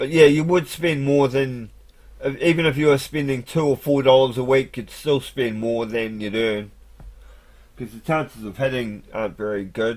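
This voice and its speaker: With a New Zealand accent, a man talks at a moderate pace in a medium pitch. His pitch varies in an ordinary way while his loudness swings widely. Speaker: live streamer. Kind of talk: casual monologue. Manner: halting.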